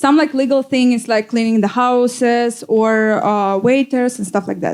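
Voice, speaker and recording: A woman with a Russian accent talks in a fairly high pitch with ordinary pitch variation. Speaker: DJ. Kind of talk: panel talk. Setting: stage with audience. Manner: halting.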